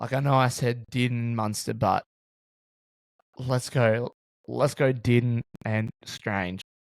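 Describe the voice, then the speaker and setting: The sound is dry and close with no echo as a man speaks at a medium pitch with fairly even intonation. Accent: Australian. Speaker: sports podcast host. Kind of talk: casual sports podcast chat.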